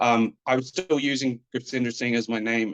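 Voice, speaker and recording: Someone with an Australian accent speaks at a fairly quick pace in a dry, close sound with no echo, with music in the background. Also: man. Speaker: professional wrestler. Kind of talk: interview.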